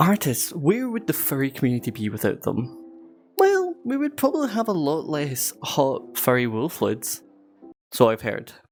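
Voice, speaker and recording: The talking proceeds at a moderate speed with music behind it. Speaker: furry YouTuber. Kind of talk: casual commentary to camera.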